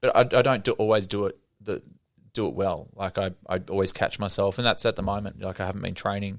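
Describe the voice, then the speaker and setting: A man with an Australian accent at a very fast pace, fairly low in pitch and fairly even in intonation, on a very clean recording with a silent background. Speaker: cafe business owner. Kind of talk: casual interview chat. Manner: halting, many fillers and restarts.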